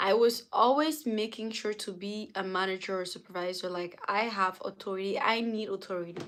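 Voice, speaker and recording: In a French accent, a woman at medium pitch speaks in an animated tone with ordinary pitch variation. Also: hardly any pauses. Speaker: livestreamer. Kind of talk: casual chat. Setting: livestream.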